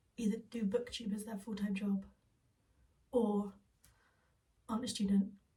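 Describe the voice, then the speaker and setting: Putting on a character voice, a woman whispers raspily at a fairly quick pace. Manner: whispering.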